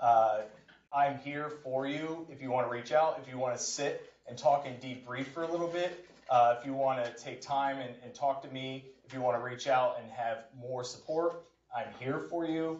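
Over noticeable background noise, a man at medium pitch talks at a moderate pace with fairly even intonation and big swings in loudness. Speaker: university professor giving workshop. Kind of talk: workshop presentation. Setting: stage with audience.

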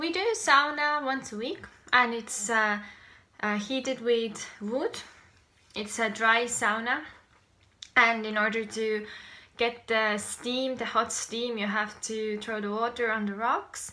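Speaking at a very slow pace with long, frequent pauses, a woman uses a bright, sharp tone. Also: ordinary pitch variation. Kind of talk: casual vlog chat. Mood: warm, cheerful. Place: home room. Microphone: phone near.

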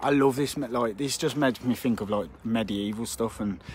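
In a dry recording with no echo, a man speaks at a fairly quick pace with ordinary pitch variation. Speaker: urban explorer streamer. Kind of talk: casual live stream chat reading comments. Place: street. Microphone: phone near.

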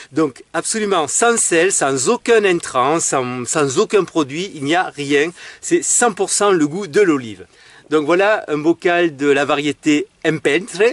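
With lively intonation, a man speaks very slowly in a dry recording with no echo. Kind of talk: tutorial. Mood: cheerful, enthusiastic. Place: garden. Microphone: phone near.

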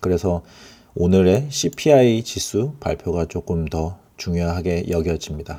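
A man with a very deep, low pitch and a dark, mellow tone speaks at a very slow pace. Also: lively intonation. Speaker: crypto market commentator. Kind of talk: market analysis tutorial. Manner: halting, with many fillers and repeats.

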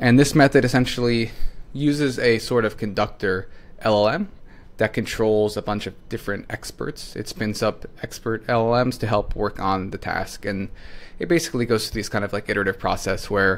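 Here a man talks at a moderate pace with ordinary pitch variation. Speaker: presenter. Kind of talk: tutorial. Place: home room.

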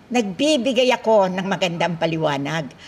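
A woman at a fairly slow pace, with very wide pitch swings and light background noise. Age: old. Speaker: folk healer. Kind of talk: health talk to viewers. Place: church.

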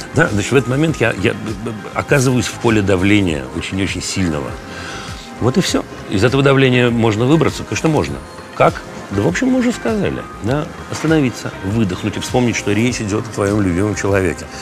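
The speech runs at a very fast pace. Clear music plays in the background. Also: man, fairly low pitch for a man. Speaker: interviewee. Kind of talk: interview answer. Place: cafe. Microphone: lapel.

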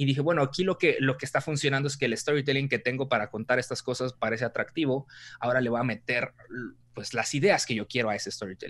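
With a Mexican accent, this speaker goes at a very fast pace with ordinary pitch variation. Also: man, medium pitch for a man. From Mexico. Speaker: content creator and storytelling expert; content creator. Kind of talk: interview conversation. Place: home room. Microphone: video call.

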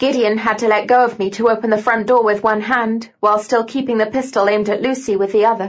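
In a natural reading voice, the intonation remains fairly even.

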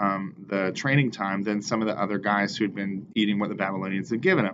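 A man with a fairly low pitch talks over noticeable background noise. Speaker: bible study teacher. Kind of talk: casual bible lesson talk. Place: office.

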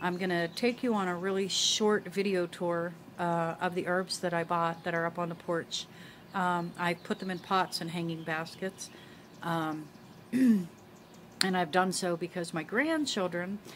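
A woman with a plain, everyday voice speaks at a moderate pace, fairly low in pitch and fairly even in intonation, over light background noise. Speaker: homesteading vlogger. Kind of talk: casual vlog chat. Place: garden. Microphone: phone near.

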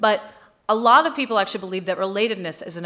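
A woman with an American accent talks with lively intonation. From United States. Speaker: tech executive and keynote speaker; keynote speaker. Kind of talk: conference keynote. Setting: stage with audience. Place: hall. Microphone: podium.

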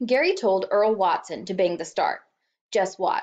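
With a quiet background behind it, a passage is read aloud in a natural voice.

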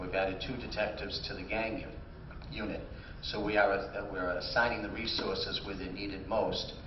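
Over noticeable background noise, a man talks at a moderate pace in a fairly low pitch with monotone, flat intonation. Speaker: mayor running for re-election. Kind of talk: candidate forum answers. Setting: stage with audience.

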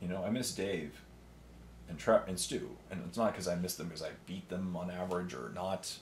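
A man with a Canadian accent speaks at a fairly quick pace in a very deep, low voice with vocal fry, over light background noise. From Canada. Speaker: miniature painting YouTuber. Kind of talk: casual solo talk while painting. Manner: animated. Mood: relaxed, opinionated.

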